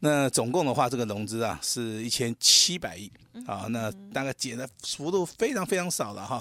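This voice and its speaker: A man uses a normal speaking voice at a medium pitch. His intonation is lively. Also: moderate pace. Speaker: stock market analyst. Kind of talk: radio market commentary.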